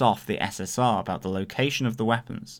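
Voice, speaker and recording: In a very clean recording with a silent background, an ordinary speaking voice talks at a fairly quick pace. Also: man. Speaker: podcast host. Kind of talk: casual podcast discussion.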